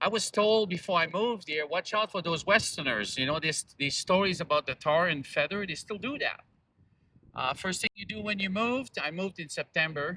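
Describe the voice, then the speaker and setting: Pitched high for a man, this raised, projected voice has a bright, sharp tone, ordinary pitch variation and a fairly quick pace, recorded dry and close with no echo. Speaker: activist speaker. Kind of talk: public speech.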